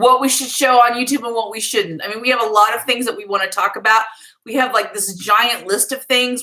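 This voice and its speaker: A woman speaks at a fairly quick pace and a high pitch. There is noticeable background noise. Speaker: YouTuber, mother co-host. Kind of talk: casual livestream chat. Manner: fast.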